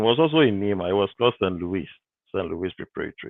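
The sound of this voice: A man speaks at a low pitch. The sound is dry and close, with no echo.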